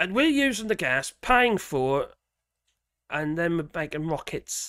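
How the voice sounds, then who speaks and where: With a strong Norfolk accent, a man speaks at a moderate pace in a bright, sharp tone with lively intonation on a very clean recording with a silent background. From Norfolk, eastern England. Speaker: political commentary livestreamer. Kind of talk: livestream chat reading viewer comments. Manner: halting, many fillers and restarts; casual, profane.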